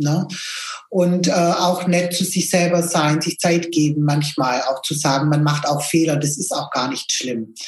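At a fairly slow pace, a woman talks with a very deep, low pitch and fairly even intonation. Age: 50s. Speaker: business owner, photography studio. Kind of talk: podcast interview.

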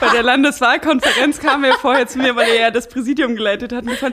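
A woman's high-pitched voice at a very fast pace, with noticeable background noise. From Saxony-Anhalt, eastern Germany. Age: 20s. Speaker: politician, parliamentary candidate. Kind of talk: casual interview. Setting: at guest's home. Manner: clear and articulate.

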